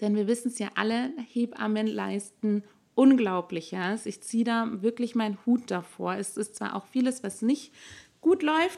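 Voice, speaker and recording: A woman's fairly high, lively voice at a fairly slow pace, a normal speaking voice on a very clean recording with a silent background. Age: 20s. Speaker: doula and birth-preparation instructor. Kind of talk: interview.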